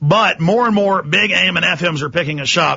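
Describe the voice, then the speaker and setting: A man is talking. His voice has vocal fry. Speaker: radio talk show host. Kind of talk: talk radio monologue. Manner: impassioned, angry.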